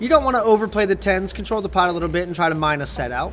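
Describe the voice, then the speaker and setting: Noticeable background noise runs under the recording. A man talks at a very fast pace. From US South, South Carolina. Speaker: poker commentator. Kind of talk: live commentary. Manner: casual, chatty.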